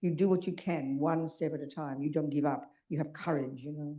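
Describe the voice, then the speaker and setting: The background is quiet. A woman speaks with a dark, mellow tone. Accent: Australian. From Australia (Melbourne). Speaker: Buddhist nun teacher. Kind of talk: dharma talk to audience. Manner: very fast; animated.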